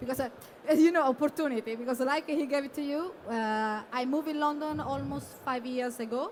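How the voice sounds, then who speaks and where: A fairly quick delivery with an Italian accent. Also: woman, high pitch for a woman, ordinary pitch variation. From Italy. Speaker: bartender. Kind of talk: presentation. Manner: halting.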